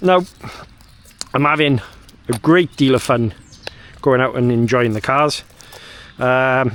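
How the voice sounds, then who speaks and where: Speaking in a medium pitch with ordinary pitch variation, a man keeps a moderate pace. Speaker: RC hobby YouTuber. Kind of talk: casual vlog monologue. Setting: outdoors in a park. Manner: loud; hesitant, filler-heavy.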